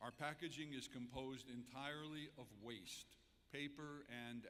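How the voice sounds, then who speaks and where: A bright, sharp tone at a moderate pace, with ordinary pitch variation and audible room echo. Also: man. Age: 70s. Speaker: entrepreneur and keynote speaker. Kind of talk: public speech. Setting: convention center stage with audience.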